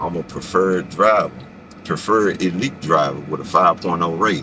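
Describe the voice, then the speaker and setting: Amid noticeable background noise, a man speaks at a very deep, low pitch with ordinary pitch variation. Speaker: rideshare driver vlogger. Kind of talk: casual vlog monologue. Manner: fast.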